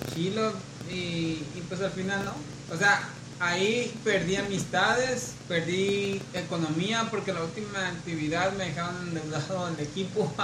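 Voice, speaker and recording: Amid noticeable background noise and audible room echo, a man with a high pitch and ordinary pitch variation talks at a fairly slow pace. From Mexico, Culiacán, Sinaloa. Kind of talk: casual chat.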